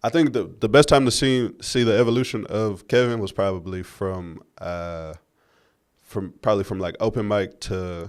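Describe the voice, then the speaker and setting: This is an ordinary speaking voice from a man with an American accent. His pitch is fairly low with ordinary variation, and his pace is moderate. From West Texas. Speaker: comedian. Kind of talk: casual chat.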